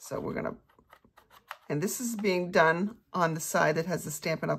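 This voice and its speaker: Pitch varies in an ordinary way while the words come at a moderate pace. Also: woman. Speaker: craft class instructor. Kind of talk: tutorial.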